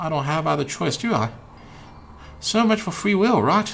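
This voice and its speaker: A man with an American accent at a fairly quick pace, music in the background. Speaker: video game streamer. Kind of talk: reading game dialogue aloud on a live stream. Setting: live stream.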